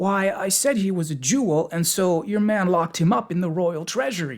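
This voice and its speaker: A man does a put-on character voice at a high pitch, with lively intonation and very even loudness. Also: moderate pace. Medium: read story. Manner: simple, innocent.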